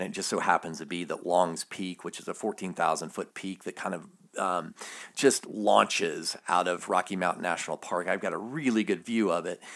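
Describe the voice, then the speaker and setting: A man with an American accent speaks at a moderate pace in a very deep, low pitch with ordinary pitch variation. The recording is very clean, with a silent background. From US South, Alabama. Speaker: podcast host, Bible study. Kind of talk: solo podcast monologue on faith. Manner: casual, hesitant with fillers.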